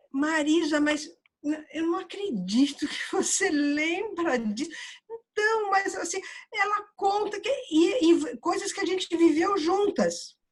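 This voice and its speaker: A woman is speaking. Her pace is very slow. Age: 60s. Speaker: audience participant. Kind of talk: casual conversation. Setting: virtual meditation room video call. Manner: halting.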